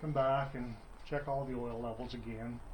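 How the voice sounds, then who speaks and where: Somewhat breathy and fairly high-pitched, a man talks at a moderate pace with monotone, flat intonation, and audible room echo is present. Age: 60s. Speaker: motorcycle hobbyist vlogger. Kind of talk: tutorial. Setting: home basement. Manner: casual, halting with fillers.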